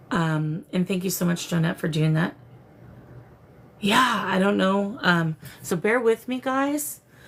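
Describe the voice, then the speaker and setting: Over noticeable background noise, a woman with a medium-pitched voice talks at a fairly slow pace, leaving long, frequent pauses. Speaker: psychic medium livestream host. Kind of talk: live stream spirit communication. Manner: slurred, disoriented.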